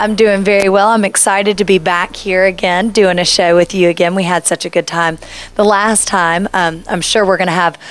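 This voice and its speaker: Fairly even in intonation, an ordinary speaking voice proceeds at a moderate pace. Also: woman. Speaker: TV show host. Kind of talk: TV show interview.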